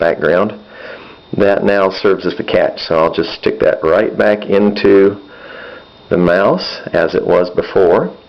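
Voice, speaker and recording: There is noticeable background noise as a man with an American accent speaks at a fairly slow pace. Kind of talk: casual repair tutorial.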